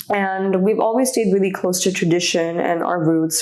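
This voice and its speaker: There is noticeable background noise and audible room echo here. Through it, a woman speaks at a moderate pace. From Indonesia (Jakarta), Indian family. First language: Indonesian. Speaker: handbag designer and entrepreneur. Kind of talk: casual interview chat.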